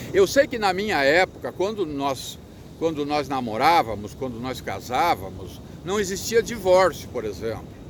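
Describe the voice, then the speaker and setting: A man speaks with a fairly high pitch and vocal fry. His pitch swings very widely. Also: moderate pace. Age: 60s. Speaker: motivational speaker. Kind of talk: casual talk to camera. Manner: halting, repetitive.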